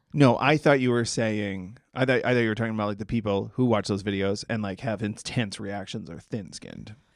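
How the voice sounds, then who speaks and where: In a very clean recording with a silent background, a man with an American accent and a plain, everyday voice speaks at a fairly quick pace, fairly low in pitch, with fairly even intonation and hardly any pauses. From Massachusetts. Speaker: comedian and podcast co-host. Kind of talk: casual chat.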